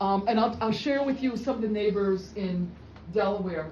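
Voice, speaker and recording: There is noticeable background noise and audible room echo. A woman speaks with lively intonation at a fairly high pitch. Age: 60s. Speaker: job seeker among friends. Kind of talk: casual group chat. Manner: halting.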